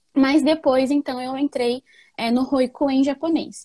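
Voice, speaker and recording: A woman's high-pitched voice with a dark, mellow tone at a fairly slow pace, the sound dry and close with no echo on a very clean recording with a silent background. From Japan, Nagoya (Brazilian family). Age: 20s. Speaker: educator. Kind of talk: interview. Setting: live stream.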